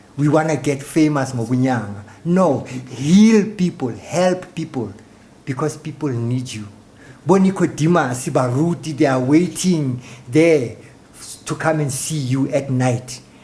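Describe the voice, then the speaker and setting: A dark, mellow, somewhat breathy tone at a fairly slow pace, with ordinary pitch variation. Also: man, fairly high pitch for a man. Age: 60s. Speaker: traditional healer. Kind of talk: talk show interview.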